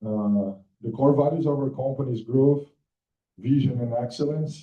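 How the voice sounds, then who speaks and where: Medium pitch from a somewhat breathy man, moderate in speed, fairly even in intonation. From Brazil. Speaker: business co-founder. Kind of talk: business pitch presentation.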